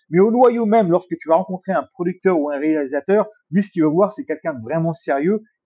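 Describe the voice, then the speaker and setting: Lively intonation comes through at a fairly quick pace. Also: man. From France, Paris region and Bourges. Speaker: former MMA fighter. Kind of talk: casual chat.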